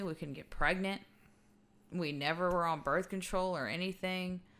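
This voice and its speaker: A bright, sharp tone with fairly even intonation, on a very clean recording with a silent background. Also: woman. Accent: Texan. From Texas (Fort Worth/Arlington), Mexican-American. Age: 30s. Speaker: podcast host. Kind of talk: personal testimony.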